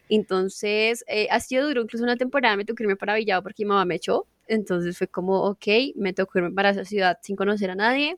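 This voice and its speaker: Pitched fairly high, a woman talks at a very fast pace. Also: dry, close sound with no echo. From Colombia, Casanare. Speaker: gamer and streamer. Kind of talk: casual chat.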